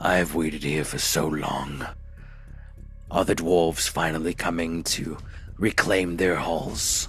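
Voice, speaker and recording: A man bellows in a gruff, put-on character voice at a fairly slow pace, leaving long, frequent pauses. Clear music plays in the background. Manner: bellowing.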